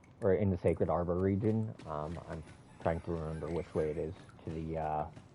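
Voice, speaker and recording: Music plays in the background as a man talks at a fairly quick pace with a very deep, low pitch and fairly even intonation. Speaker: video game streamer. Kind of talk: casual gameplay commentary. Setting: live stream. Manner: halting, stutters.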